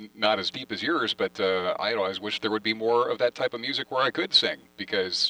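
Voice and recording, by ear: A man speaks at a medium pitch and a fairly quick pace, his bright, sharp tone showing ordinary pitch variation in a dry, close sound with no echo.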